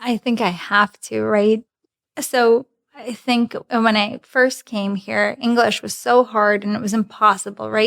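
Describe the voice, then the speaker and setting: A woman with a Russian accent speaks at a fairly high pitch and a fairly slow pace, her intonation flat and monotone. The sound is dry and close, with no echo. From Belarus, near Polish and Lithuanian border. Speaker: commercial manager. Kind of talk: interview podcast chat. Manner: conversational.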